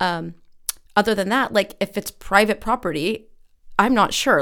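In a very clean recording with a silent background, a woman with an American accent speaks at a medium pitch with ordinary pitch variation. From California, Santa Cruz. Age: 40s. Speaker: teacher, city council candidate. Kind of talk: interview answers.

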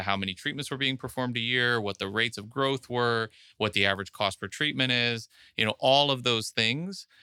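A man talking at a very fast pace, bright and sharp in tone, with ordinary pitch variation, a dry, close sound with no echo, and a very clean recording over a silent background. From Miami, Florida. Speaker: business owner. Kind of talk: interview. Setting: office.

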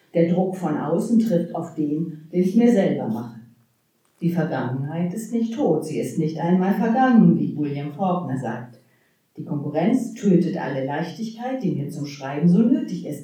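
A woman talks at a fairly slow pace in a fairly low voice. Her pitch swings very widely, and room echo is audible. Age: 60s. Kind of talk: poetry slam performance; panel discussion.

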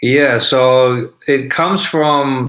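Here a man speaks with an Australian accent. His tone is bright and sharp, and his intonation stays fairly even. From Sydney, Australia. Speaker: rapper. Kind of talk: casual interview chat. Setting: video call.

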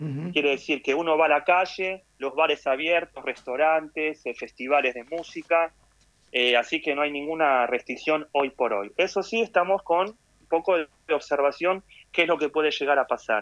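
In a dry, close sound with no echo, a man speaks at a moderate pace and a fairly high pitch, with ordinary pitch variation. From Argentina. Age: 40s. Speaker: emergency physician. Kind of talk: interview.

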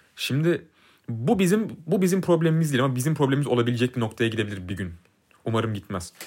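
A man at a very fast pace, medium in pitch, with very wide pitch swings. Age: 20s. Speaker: podcast co-host, F1 commentator. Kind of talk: casual chat. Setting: studio, face to face.

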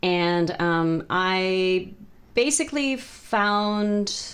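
This woman speaks at a medium pitch with an American accent. Her intonation is lively. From California, Bay Area. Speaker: music teacher. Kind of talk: interview conversation.

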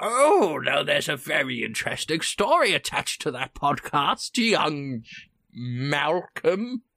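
In a put-on character voice, the speaker holds a middle pitch at a fairly slow pace. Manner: fond, storytelling.

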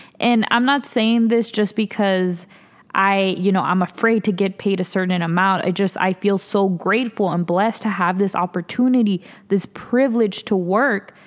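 An ordinary speaking voice from a woman at medium pitch, with fairly even intonation, very even loudness and a moderate pace, on a very clean recording with a silent background. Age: 20s. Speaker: podcast host. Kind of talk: solo monologue podcast. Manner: casual, chatty.

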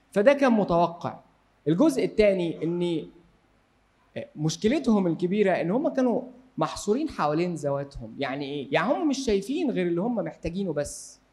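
Very wide pitch swings at a moderate pace, with an Egyptian accent. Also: man, high pitch for a man. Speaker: Bible teacher. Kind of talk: Bible study lecture.

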